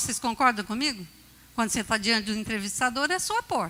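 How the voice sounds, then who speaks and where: Raising and projecting her voice, a woman swings very widely in pitch. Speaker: bishop preaching. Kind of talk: sermon. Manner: animated storytelling.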